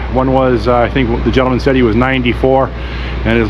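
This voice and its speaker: A man speaks at a fairly quick pace over noticeable background noise, with audible room echo. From Canada, Toronto. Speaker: vlogger. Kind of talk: walk-and-talk vlog narration. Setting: outdoors, walking city streets. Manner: halting, many fillers.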